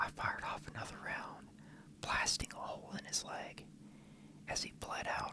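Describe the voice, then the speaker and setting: A man is whispering at a moderate pace. Noticeable background noise sits behind him. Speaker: ASMR creator. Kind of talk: ASMR story reading, parody crime story.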